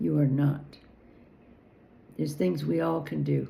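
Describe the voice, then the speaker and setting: A woman with an American accent speaks at a fairly slow pace in a very deep, low pitch, her dark, mellow tone moving through very wide pitch swings amid audible room echo. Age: 70s. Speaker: political commentator. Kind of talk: personal vlog monologue. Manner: halting.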